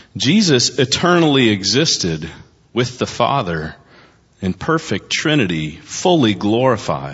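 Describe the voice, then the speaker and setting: At a fairly slow pace, a man with a medium-pitched voice and vocal fry holds very even loudness while his pitch swings very widely. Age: 40s. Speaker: pastor. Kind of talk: sermon. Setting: church.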